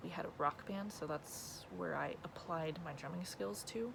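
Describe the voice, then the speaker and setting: Quietly and at a fairly slow pace, a woman speaks with an American accent and a very deep, low pitch that moves in very wide swings. Audible room echo fills the recording. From California. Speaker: vlogger. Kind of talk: casual Q&A vlog. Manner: wavering, shy.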